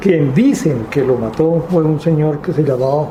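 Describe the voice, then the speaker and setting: The speech comes at a very slow pace, with audible room echo and noticeable background noise. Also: man. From Colombia, Huila (Guadalupe). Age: 70s. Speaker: witness of political violence. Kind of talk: testimony.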